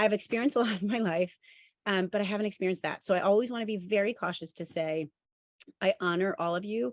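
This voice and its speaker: Speaking very fast at a medium pitch with ordinary pitch variation, a woman is heard in a dry, close recording with no echo. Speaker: obstetrician-gynecologist and ovarian cancer survivor. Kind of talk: talk to a support group.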